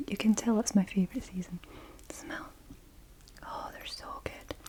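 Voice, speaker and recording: Soft-spoken delivery with a Scottish accent over noticeable background noise. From Scotland. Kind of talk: ASMR personal attention, object triggers.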